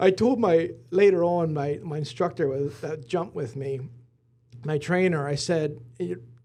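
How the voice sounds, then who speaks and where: In an American accent, a man with a fairly high pitch and a dark, mellow tone talks at a moderate pace with ordinary pitch variation. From Lancaster County, Pennsylvania. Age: 40s. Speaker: business executive. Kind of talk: casual interview.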